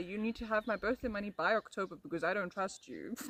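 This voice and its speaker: A woman with a South African accent talks with ordinary pitch variation, recorded in a dry, close sound with no echo amid noticeable background noise. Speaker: ASMR streamer. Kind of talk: casual chat. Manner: animated.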